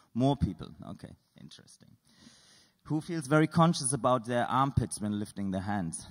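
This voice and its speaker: A man with a non-native accent speaks at a moderate pace with lively intonation and big swings in loudness. He takes long, frequent pauses against a quiet background. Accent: non-native English, noticeable foreign. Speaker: artist and composer. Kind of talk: lecture with audience exercises. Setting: stage with audience, microphone. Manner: informal, playful; halting. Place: hall. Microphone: studio mic.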